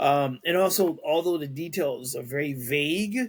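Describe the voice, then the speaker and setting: Ordinary pitch variation runs through a man's fairly slow speech. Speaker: podcast host. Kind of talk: reading news aloud with commentary. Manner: halting, stumbles over words.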